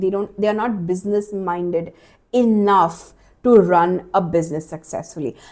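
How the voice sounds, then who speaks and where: A woman with an Indian accent, a dark, mellow tone, medium pitch and a moderate pace. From India, Maharashtra. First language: Marathi. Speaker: life coach and podcast host. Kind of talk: solo podcast monologue. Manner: casual, conversational with fillers.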